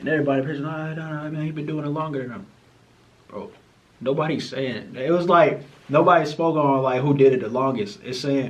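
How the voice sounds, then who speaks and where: Amid noticeable background noise and audible room echo, a man with a fairly high voice speaks at a fairly quick pace with ordinary pitch variation. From United States. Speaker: YouTube reactor. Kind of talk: reaction commentary. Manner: animated.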